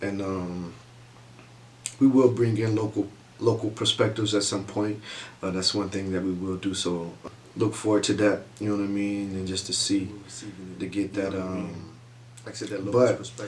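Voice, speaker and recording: The speaker is soft-spoken, with fairly even intonation and long, frequent pauses. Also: man, fairly low pitch for a man, moderate pace. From US South, south Georgia. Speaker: vlogger. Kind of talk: casual chat.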